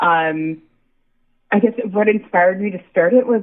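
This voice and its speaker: In an American accent, a woman with an unremarkable speaking voice talks at a moderate pace with lively intonation. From US, Buffalo, New York. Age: 30s. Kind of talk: interview.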